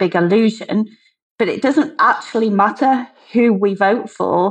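Her voice is an ordinary speaking voice, a woman's with a fairly high pitch. She talks at a moderate pace with ordinary pitch variation. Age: 50s. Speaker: businesswoman and former political candidate. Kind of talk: interview.

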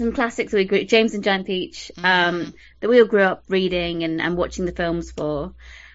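Here a woman speaks in a British accent. Her pitch sits in the medium range. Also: ordinary pitch variation, moderate pace. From UK. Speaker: podcast host. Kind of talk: casual chat.

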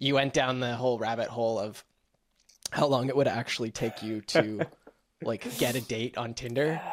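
A man's medium-pitched, normal speaking voice, with fairly even intonation and a moderate pace. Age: young. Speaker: podcast host. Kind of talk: casual chat.

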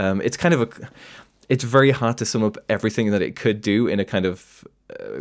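A man with a British accent, on a very clean recording with a silent background. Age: young. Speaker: political commentator. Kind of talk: debate.

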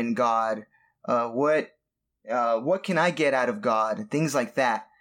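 In an American accent, a man talks at a moderate pace with ordinary pitch variation and an ordinary speaking voice. The recording is very clean, with a silent background. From US, Southern California. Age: 30s. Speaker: musician and worship leader. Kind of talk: casual chat.

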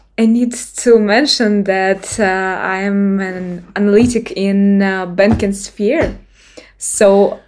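Speaking at a very slow pace, a woman uses a medium-pitched voice with fairly even intonation and a Russian accent. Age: 20s. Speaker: bank analyst. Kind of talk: interview. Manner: halting.

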